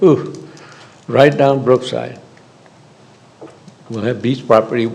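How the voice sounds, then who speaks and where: There is noticeable background noise as a man of medium pitch talks at a moderate pace. His intonation is fairly even. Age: 70s. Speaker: public commenter at a school board meeting. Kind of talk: public comment. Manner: halting.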